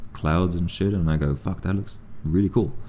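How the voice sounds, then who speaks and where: A man's very deep, low voice at a fairly quick pace, over noticeable background noise. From southern France, born in UK. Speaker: professional snowboarder. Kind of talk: casual interview chat. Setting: empty hotel near a pool.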